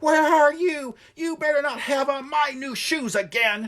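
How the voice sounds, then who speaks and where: Shouting in a put-on character voice, a man hits an extremely high, shrill pitch. His pace is moderate. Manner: screaming.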